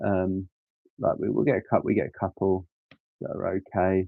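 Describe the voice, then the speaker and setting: A man with an English accent talks at a moderate pace. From England. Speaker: Lego live streamer. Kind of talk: casual live stream chat. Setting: live stream. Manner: casual, hesitant with frequent ums.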